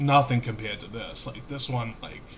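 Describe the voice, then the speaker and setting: A man with a Cincinnati accent, medium pitch and monotone, flat intonation at a moderate pace. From Cincinnati, Ohio, US Midwest. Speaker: gaming streamer. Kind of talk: casual live-stream commentary. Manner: casual, halting with fillers.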